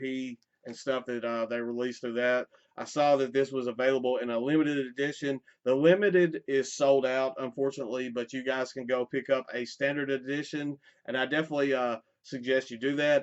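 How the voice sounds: A man with a medium pitch and a clear, smooth tone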